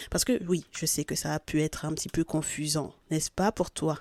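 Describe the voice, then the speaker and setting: A woman with a very deep, low pitch and a dark, mellow tone speaks in a monotone, flat intonation at a moderate pace, recorded dry and close with no echo on a very clean recording with a silent background. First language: not French (speaking French). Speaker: spiritual guidance podcaster. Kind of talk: spiritual guidance reading. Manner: hesitant, with fillers.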